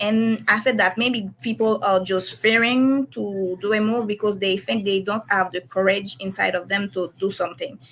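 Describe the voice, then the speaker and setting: A woman with a non-native accent speaks at a moderate pace and medium pitch. Her intonation is fairly even, with hardly any pauses. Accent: non-native English, self-described shaky. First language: French / Haitian Creole. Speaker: comic illustrator. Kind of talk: casual chat. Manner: halting, many hesitations and self-corrections.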